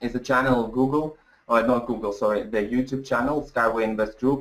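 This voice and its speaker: At a fairly quick pace, a man speaks at medium pitch with fairly even intonation. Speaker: webinar presenter. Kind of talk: webinar presentation. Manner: fast; halting.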